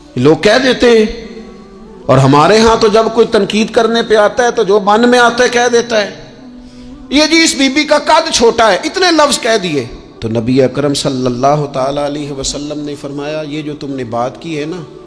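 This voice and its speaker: Music plays behind a man speaking at a high pitch. His pitch swings very widely. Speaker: Islamic preacher. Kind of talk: religious sermon. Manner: emotional, earnest.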